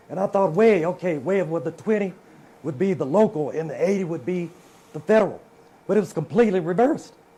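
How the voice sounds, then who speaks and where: The speaker has a Mississippi accent. The pace is fairly quick. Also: man. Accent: Southern US (Mississippi). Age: 60s. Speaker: politician. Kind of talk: political debate.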